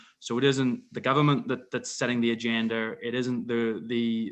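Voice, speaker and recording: This man talks with a British accent. He uses a medium pitch. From UK. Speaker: wind energy industry expert. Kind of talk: panel discussion. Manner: stuttering, repeats words.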